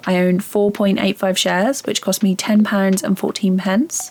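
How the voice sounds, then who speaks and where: With music playing behind her, a woman talks at a medium pitch in a British accent. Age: 30s. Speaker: beginner investor vlogger. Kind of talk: scripted narration.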